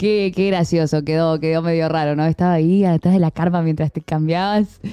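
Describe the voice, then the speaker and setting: The speaker is a woman with a fairly low pitch. She talks at a fairly quick pace. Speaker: streaming show co-host. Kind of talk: casual chat.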